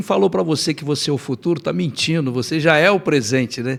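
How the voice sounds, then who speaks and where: In a very clean recording with a silent background, a man with a normal speaking voice talks at a fairly quick pace, his fairly high pitch carried by lively intonation. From Nova Friburgo, Rio de Janeiro state, Brazil. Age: 60s. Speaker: lawyer and mayoral candidate. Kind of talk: interview, life story.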